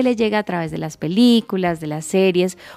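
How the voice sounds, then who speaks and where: Ordinary pitch variation runs through a dark, mellow tone. The delivery is fairly quick. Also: woman. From Colombia, Cali. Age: 30s. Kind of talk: radio magazine show, casual chat and news segments.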